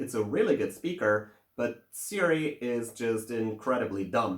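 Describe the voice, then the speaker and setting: A man talks in a German accent. His intonation is lively. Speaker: tech video reviewer. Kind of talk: tech review monologue. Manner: casual, with many filler words.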